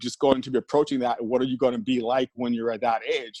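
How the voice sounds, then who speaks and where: This man has a normal speaking voice with a medium pitch and fairly even intonation, recorded with a dry, close sound and no echo. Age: 60s. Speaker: fitness professional. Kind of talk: testimony.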